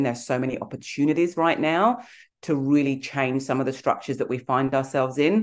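A woman speaks at a fairly quick pace. Her pitch is very deep and low. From England, Nigerian heritage. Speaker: executive coach and author. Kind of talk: interview, conversational.

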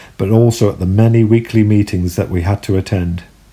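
This man's somewhat breathy voice has a dark, mellow tone, fairly low pitch and ordinary pitch variation at a moderate pace. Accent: London. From southeast London. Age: 40s. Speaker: podcaster, former Jehovah's Witness. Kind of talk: personal storytelling monologue.

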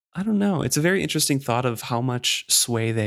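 A man talks with a normal speaking voice at a fairly quick pace. His intonation is lively, in a very clean recording with a silent background. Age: 30s. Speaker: book podcast co-host. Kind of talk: casual chat.

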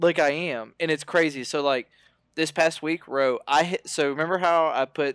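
This is an ordinary speaking voice from a man with an American accent, moving at a moderate pace with ordinary pitch variation. The sound is dry and close with no echo, and the recording is very clean with a silent background. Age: 20s. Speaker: podcast guest, nutrition coaching client. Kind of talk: casual interview, personal testimony.

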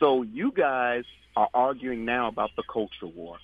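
Here a man uses a normal speaking voice at medium pitch and a moderate pace. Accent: American. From New York. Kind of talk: phone-in commentary.

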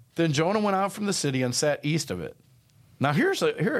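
A man's fairly high voice with vocal fry and very wide pitch swings, fairly quick, on a very clean recording with a silent background. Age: 60s. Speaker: pastor. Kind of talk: casual chat.

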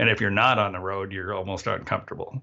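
This man speaks in a Canadian accent at a fairly low pitch. Vocal fry colors his voice. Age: 60s. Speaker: harmonica player. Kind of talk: casual interview. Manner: halting, many fillers and restarts.

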